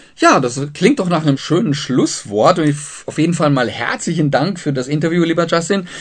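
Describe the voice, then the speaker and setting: An ordinary speaking voice from a man, fairly high-pitched, at a moderate pace with ordinary pitch variation. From southern Germany. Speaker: radio host. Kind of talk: radio interview.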